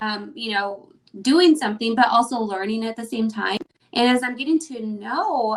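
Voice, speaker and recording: At a fairly slow pace, a woman talks in an ordinary speaking voice pitched fairly high. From Mexican heritage, US. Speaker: interviewer, mom group organizer. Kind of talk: casual interview.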